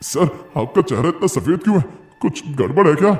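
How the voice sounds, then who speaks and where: Moderate pace and fairly high pitch in a man's put-on character voice. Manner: quiet, hesitant.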